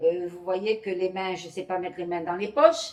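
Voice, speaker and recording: Speaking at a medium pitch, a woman is heard over noticeable background noise. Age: 70s. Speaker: podcast co-host, grandmother. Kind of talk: casual chat. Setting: podcast recording.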